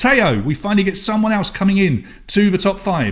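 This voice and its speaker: An animated man's voice, high in pitch, with an English accent. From England. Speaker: online quiz host. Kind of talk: live quiz hosting.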